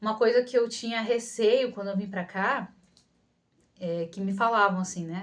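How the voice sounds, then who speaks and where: Speaking in a Rio de Janeiro accent, a woman keeps a medium pitch and fairly even intonation at a moderate pace. She leaves long, frequent pauses. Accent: carioca. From Rio de Janeiro, Brazil. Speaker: psychologist and video creator. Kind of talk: Q&A vlog, casual talk to camera. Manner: casual, many fillers and restarts.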